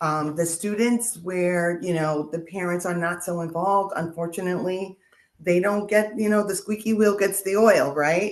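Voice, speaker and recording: A woman's normal speaking voice, medium in pitch, with fairly even intonation and a moderate pace. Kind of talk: interview answer.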